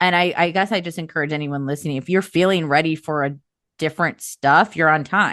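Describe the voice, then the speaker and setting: A woman speaks with a very deep, low pitch. Her pace is fairly quick and her intonation fairly even. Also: quiet background. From US Midwest, Chicago suburbs. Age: 30s. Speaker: astrology podcast host. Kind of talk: casual chat.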